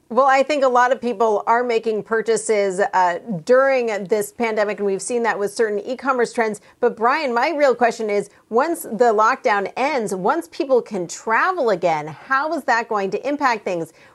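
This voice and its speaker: Here is an ordinary speaking voice from a woman, fairly high in pitch. She keeps a moderate pace and uses lively intonation. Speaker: media reporter. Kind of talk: panel discussion.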